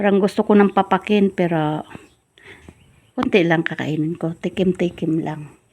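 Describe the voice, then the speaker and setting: A woman uses a normal speaking voice, fairly low in pitch, at a moderate pace with ordinary pitch variation. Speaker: vlogger. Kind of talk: casual chat.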